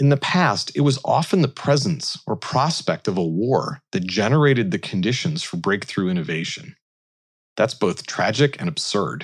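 A man speaks at medium pitch and a moderate pace, with vocal fry and very wide pitch swings. The recording is very clean, with a silent background. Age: 40s. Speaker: commencement speaker, tech innovation leader. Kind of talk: commencement speech.

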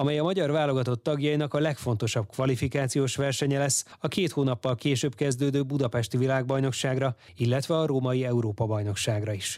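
On a very clean recording with a silent background, a man uses a plain, everyday voice at a medium pitch, speaking at a fairly quick pace with fairly even intonation. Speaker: radio host. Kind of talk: news reading. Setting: studio.

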